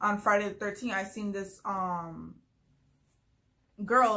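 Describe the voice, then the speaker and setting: A woman's bright, sharp voice carries fairly even intonation with audible room echo. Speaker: vlogger. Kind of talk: casual storytelling vlog. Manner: fast.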